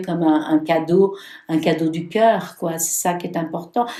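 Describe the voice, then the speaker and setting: Recorded with audible room echo, a woman talks at a moderate pace. Her tone is dark and mellow, with ordinary pitch variation. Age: 70s. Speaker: tarot reader and healer. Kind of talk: casual interview. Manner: halting.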